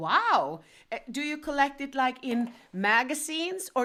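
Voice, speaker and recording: Projecting her raised voice, a woman speaks at a high pitch and a moderate pace, her bright, sharp tone moving through very wide pitch swings. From northern Sweden. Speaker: band member livestream host. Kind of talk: interview.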